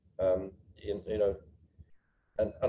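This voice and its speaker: A man speaks with an English accent. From England. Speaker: seafarer. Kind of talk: panel discussion. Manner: halting, many fillers and repeats.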